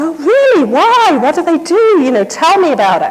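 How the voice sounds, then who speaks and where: A put-on character voice at an extremely high pitch, with very wide pitch swings and a moderate pace. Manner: clueless, feigning interest.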